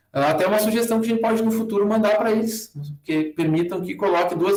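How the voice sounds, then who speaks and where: With audible room echo, a man talks at a very fast pace in a high pitch, his intonation fairly even. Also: quiet background. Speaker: university lecturer teaching a workshop. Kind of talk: online tutorial with screen demo. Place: home room. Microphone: webcam.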